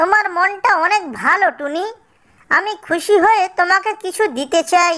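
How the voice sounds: In a cartoonish character voice, the speaker talks at a fairly slow pace with a bright, sharp tone. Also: ordinary pitch variation.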